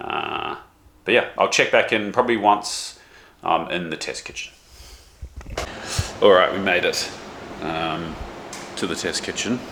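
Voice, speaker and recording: Against light background noise, a man speaks fairly slowly with long, frequent pauses. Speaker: chef and cooking vlogger; cooking video creator. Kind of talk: casual vlog.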